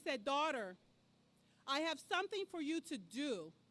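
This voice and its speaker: This woman speaks loud. Her pace is fairly slow. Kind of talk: storytelling speech at a rally. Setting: outdoor rally in a park.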